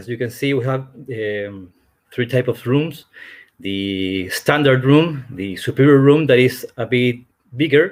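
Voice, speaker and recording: A man with a Spanish accent talks at a fairly slow pace and a medium pitch, with ordinary pitch variation and big swings in loudness. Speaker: hotel representative. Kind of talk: presentation. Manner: halting.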